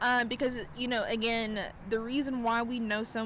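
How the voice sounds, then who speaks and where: A woman's fairly high-pitched voice with a Southern US accent. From South Carolina. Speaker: tarot reader and astrologer. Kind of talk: casual talk to camera. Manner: casual, chatty.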